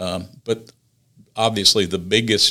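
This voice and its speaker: A man speaks slowly, at a fairly unhurried pace, in a South Carolina accent. His fairly low voice has a bright, sharp tone. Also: very clean recording, silent background. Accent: Southern US (South Carolina). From US South, upstate South Carolina. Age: 60s. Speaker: city councilman. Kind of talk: casual interview. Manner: halting, many fillers.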